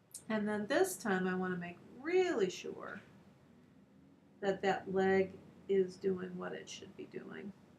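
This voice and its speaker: Noticeable background noise under a woman's medium-pitched voice at a very slow pace. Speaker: art teacher. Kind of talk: tutorial.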